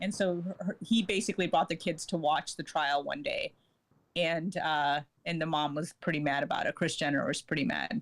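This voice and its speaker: A plain, everyday voice from a woman, pitched fairly low, with ordinary pitch variation and a moderate pace. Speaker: journalist. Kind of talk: casual chat.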